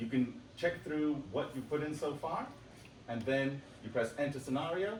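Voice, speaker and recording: A man talks at a moderate pace, his pitch fairly high with ordinary variation. Noticeable background noise and audible room echo fill the recording. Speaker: software developer presenting a product. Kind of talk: conference demo presentation. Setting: stage with audience at a conference.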